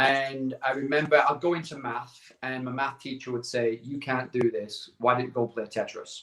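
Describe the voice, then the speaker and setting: Barely pausing, a man with a northern English accent speaks at a medium pitch with fairly even intonation. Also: moderate pace. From northern England, Barrow-in-Furness, Cumbria. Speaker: entrepreneur sharing life story. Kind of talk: casual interview.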